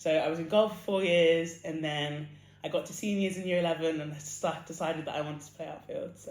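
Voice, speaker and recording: With an English accent and fairly even intonation, a woman with a fairly low pitch speaks at a very fast pace amid audible room echo. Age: 20s. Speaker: athlete. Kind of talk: interview.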